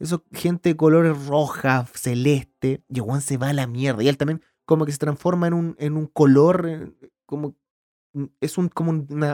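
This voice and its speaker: A man with a Chilean accent, fairly high in pitch, at a fairly slow pace, with an animated tone and ordinary pitch variation, in a dry, close sound with no echo. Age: 30s. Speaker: podcast host, filmmaker. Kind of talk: casual solo podcast monologue. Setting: home recording.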